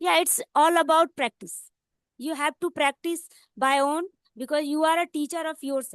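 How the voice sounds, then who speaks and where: A woman speaks at a moderate pace in an Indian accent, her high voice carrying ordinary pitch variation, with a dry, close sound free of echo against a quiet background. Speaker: English learner. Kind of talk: casual conversation practice.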